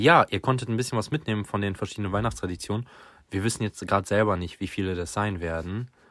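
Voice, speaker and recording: A man's fairly low voice at a very fast pace, with ordinary pitch variation, on a very clean recording with a silent background. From Lower Saxony, near Göttingen. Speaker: podcast host, student. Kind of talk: casual chat.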